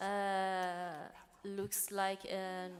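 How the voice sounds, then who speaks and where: A woman is speaking. She has a Persian accent. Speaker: poet. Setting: church event with live audience. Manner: hesitant, many fillers.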